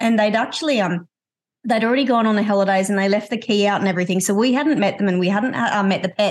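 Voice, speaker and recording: A woman speaks with an Australian accent. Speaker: podcast host. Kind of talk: interview.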